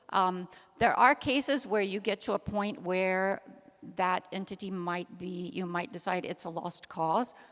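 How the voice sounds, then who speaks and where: Using an ordinary speaking voice, a woman with an American accent and medium pitch talks at a fairly slow pace with ordinary pitch variation. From United States. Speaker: activist, panel speaker. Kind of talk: panel discussion Q&A.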